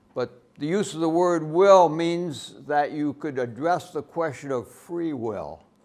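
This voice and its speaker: A man with an American accent and a fairly high pitch talks at a fairly slow pace with hardly any pauses and ordinary pitch variation. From United States. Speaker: professor. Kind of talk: lecture. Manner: loud.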